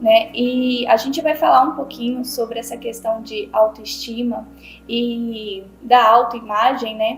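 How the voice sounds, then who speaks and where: Over noticeable background noise, a woman speaks very slowly in a fairly high voice with fairly even intonation. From Bahia, Brazil. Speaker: podcast host. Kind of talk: podcast interview.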